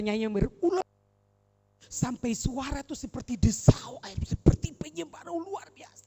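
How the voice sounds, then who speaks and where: A woman's voice makes very wide pitch swings while she keeps a moderate pace. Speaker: preacher. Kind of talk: sermon. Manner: animated.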